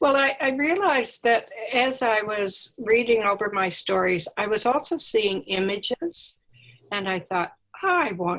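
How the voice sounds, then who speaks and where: At a fairly slow pace, a woman talks in a fairly high pitch. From Nova Scotia, Annapolis Valley. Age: 80s+. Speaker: author and painter. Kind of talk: interview. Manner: halting.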